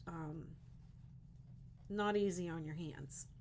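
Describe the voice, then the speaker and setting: A woman speaks with a very deep, low pitch and vocal fry in an American accent. Audible room echo surrounds her voice. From Western Pennsylvania. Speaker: crochet content creator. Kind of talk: casual livestream chat.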